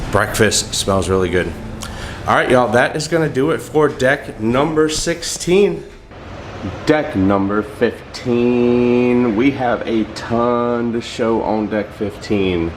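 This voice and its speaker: Noticeable background noise sits behind a man with a medium pitch who talks very slowly with lively intonation. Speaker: travel vlogger giving ship tour. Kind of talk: walkthrough tour narration. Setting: on a cruise ship, walking. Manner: casual, conversational.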